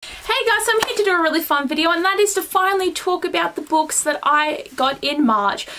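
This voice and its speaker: A woman with an extremely high pitch speaks in a raised, projected voice with an animated tone, very wide pitch swings and a fairly quick pace, with hardly any pauses and noticeable background noise. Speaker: book vlogger. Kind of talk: casual vlog. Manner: fast.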